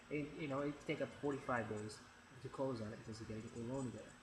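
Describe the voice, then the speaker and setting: Noticeable background noise and audible room echo surround the recording. A man speaks at a fairly high pitch. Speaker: real estate agent. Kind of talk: informal explainer video. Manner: fast; halting, many fillers and repeats.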